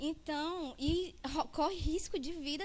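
The talking is fairly slow. The woman keeps her intonation fairly even. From Fortaleza, Ceará, Brazil. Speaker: food entrepreneur and student. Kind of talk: conference presentation. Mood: personal, earnest story. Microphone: handheld.

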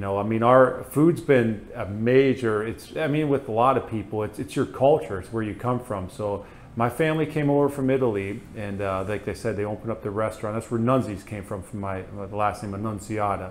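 With light background noise behind him, a man in a northern US accent talks with hardly any pauses and ordinary pitch variation. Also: medium pitch for a man, fairly quick pace. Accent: northern US, slightly Canadian-sounding. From US Northeast (Pennsylvania). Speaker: food truck owner and flight medic. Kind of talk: casual interview. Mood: relaxed, friendly. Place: studio. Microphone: lapel.

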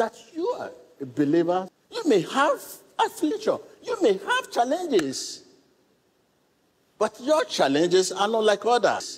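A man speaks at a fairly slow pace. Long pauses come often. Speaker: preacher giving a sermon. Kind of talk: sermon to a congregation and viewers. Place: church.

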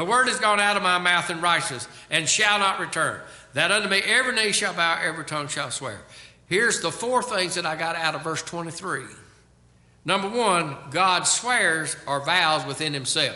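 Amid audible room echo, a man with a high pitch talks at a moderate pace with ordinary pitch variation. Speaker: pastor. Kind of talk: sermon. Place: church. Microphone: podium.

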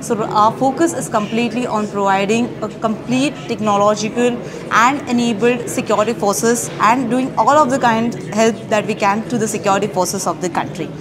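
Against noticeable background noise, a woman talks at a fairly quick pace. Her pitch is fairly high, with ordinary variation. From India. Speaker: university project officer; presenter. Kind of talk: interview at an exhibit, explaining products. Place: hall. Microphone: lapel.

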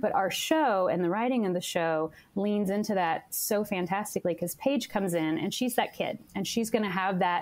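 A woman speaks with an American accent at a moderate pace, in an ordinary speaking voice. Her pitch is medium, with ordinary pitch variation. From US, Mason County, Kentucky. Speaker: digital media producer. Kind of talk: interview.

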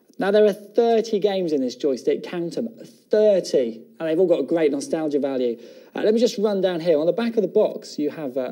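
Very wide pitch swings at a fairly quick pace over a quiet background. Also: man. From England. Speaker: TV shopping presenter. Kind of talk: TV shopping channel product presentation. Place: studio.

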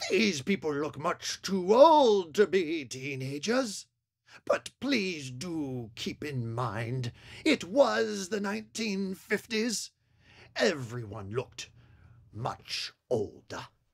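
This put-on character voice sits at a middle pitch yet makes very wide pitch swings. It moves at a very slow pace on a very clean recording with a silent background. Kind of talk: 1950s horror-host narration. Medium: short film. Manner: formal, wry, mock-solemn.

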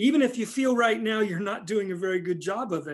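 A man's voice over a quiet background. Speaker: pastor. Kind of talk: sermon. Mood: earnest, encouraging. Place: home room. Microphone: phone near.

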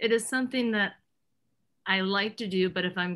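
At a fairly quick pace, a woman talks in a bright, sharp tone with ordinary pitch variation. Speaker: audience participant, former business owner; talk show guest. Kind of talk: question from audience. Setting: video call. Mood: candid, reflective. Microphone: webcam.

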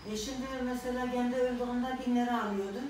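With a southeastern Turkish accent, a woman talks at a moderate pace in a high, monotone, flat voice, with light background noise and audible room echo. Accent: southeastern Turkish regional dialect. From Şanlıurfa, southeastern Turkey. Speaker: elderly woman telling memories. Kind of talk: street interview answer. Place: meeting room. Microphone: camera far.

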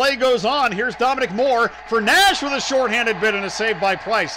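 Over noticeable background noise, a man speaks in a raised, projected voice at a fairly quick pace. His tone is animated, his intonation lively. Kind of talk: live commentary. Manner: fast-paced, rapid-fire play-by-play delivery; animated, rising excitement on goals.

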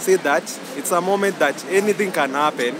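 A man in a dry sound with no echo, against loud background noise. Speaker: interviewee. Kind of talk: interview answer. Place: street.

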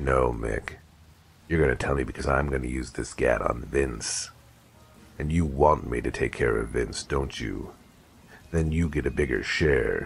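Using a put-on character voice, a man speaks at a very deep, low pitch with long, frequent pauses. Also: moderate pace. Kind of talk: hard-boiled noir detective. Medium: audio drama. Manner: menacing, deadpan.

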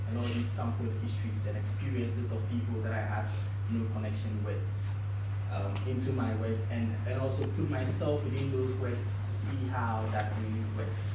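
Noticeable background noise and audible room echo surround the speaker. A man talks at a moderate pace in a Ghanaian accent. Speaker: visual artist. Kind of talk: symposium talk about own work. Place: classroom.

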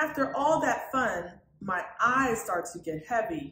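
A woman talks at a fairly slow pace and a fairly high pitch, her tone bright and sharp. Her pitch swings widely, and the room echo is audible.

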